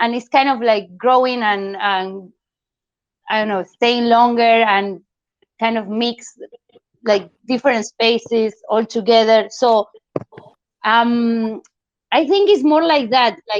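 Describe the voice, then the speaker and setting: Speaking at a very slow pace with long, frequent pauses, a woman with a non-native accent has a fairly high pitch. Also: ordinary pitch variation. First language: not English. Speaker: artist. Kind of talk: art critique discussion. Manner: halting.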